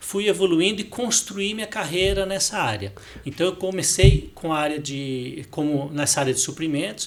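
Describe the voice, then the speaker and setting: Through noticeable background noise, a high-pitched man talks at a moderate pace with lively intonation. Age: 60s. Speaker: finance director. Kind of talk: podcast interview. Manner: hesitant, repeats words.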